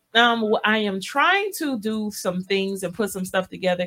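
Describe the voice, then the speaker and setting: A woman talks at a moderate pace with ordinary pitch variation. Noticeable background noise can be heard. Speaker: radio host. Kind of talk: casual radio chat. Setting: radio studio.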